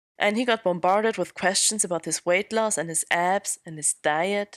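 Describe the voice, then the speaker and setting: With a non-native accent and ordinary pitch variation, the voice comes through dry and close with no echo, in a very clean recording with a silent background. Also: woman. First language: not English. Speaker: podcast host. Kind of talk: scripted narration.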